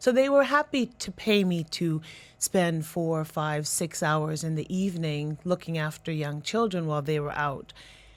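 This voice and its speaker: A woman with a Canadian accent has a plain, everyday voice, a fairly low pitch and ordinary pitch variation. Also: moderate pace. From Canada. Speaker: education and career consultant. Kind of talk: radio interview.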